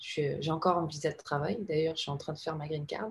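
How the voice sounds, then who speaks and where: A woman's very deep, low voice with vocal fry. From Panama. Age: 30s. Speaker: advertising creative director. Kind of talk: casual interview.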